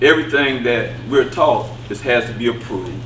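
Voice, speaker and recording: Audible room echo and noticeable background noise surround the speaker. He is a man with a medium pitch and ordinary pitch variation. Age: 60s. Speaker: audience member. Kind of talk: audience question. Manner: halting.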